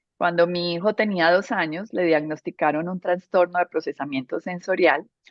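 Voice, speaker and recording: A woman speaks with a Medellín accent. Her pitch is fairly low, with ordinary variation. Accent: Medellín (paisa) Colombian. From Colombia, Medellín. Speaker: interior architect, speaker. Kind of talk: presentation talk.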